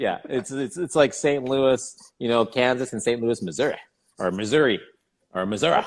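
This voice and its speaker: Speaking with a Canadian accent, a man uses an unremarkable speaking voice at a medium pitch, moderate pace and ordinary pitch variation. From Canada, Regina Saskatchewan. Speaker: golf podcast co-host. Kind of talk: casual chat.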